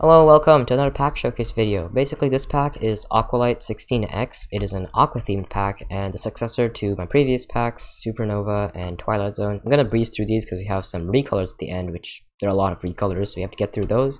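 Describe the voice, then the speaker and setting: The speech runs at a very fast pace with hardly any pauses, on a very clean recording with a silent background. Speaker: gaming YouTuber, texture pack creator. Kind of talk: tutorial-style pack showcase.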